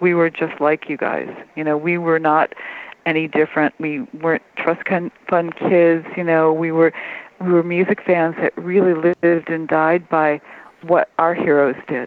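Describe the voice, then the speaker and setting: A woman with an American accent, fairly low in pitch, at a moderate pace with monotone, flat intonation. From Detroit, Michigan. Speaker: music journalist. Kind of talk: interview.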